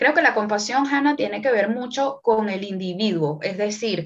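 Her pace is moderate. This woman's intonation is lively. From Venezuela. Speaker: numerologist and tarot reader. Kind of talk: casual interview chat.

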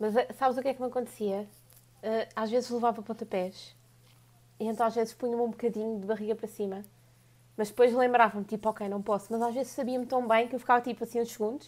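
In a European Portuguese accent, a woman speaks at a very fast pace with long, frequent pauses. Her pitch is fairly high and her intonation monotone and flat. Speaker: podcast co-host. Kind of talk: casual chat.

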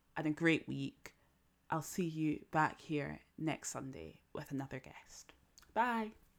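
Speaking at a moderate pace, a woman with a very deep, low pitch comes through on a very clean recording with a silent background. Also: big swings in loudness. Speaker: podcast host. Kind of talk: casual chat; scripted narration.

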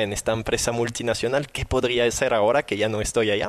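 A man at a medium pitch, in a French accent. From southern France. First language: French (speaking Spanish). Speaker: firefighter and entrepreneur. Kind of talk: interview. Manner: animated.

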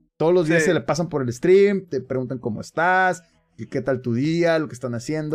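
A man at a fairly high pitch and fairly quick pace, with ordinary pitch variation and music in the background. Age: 30s. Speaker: streamer and podcast host. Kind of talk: casual chat.

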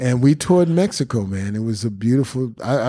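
Dark, mellow male speech in a New York accent at a medium pitch. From Bronx, New York. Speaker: drummer. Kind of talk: casual chat.

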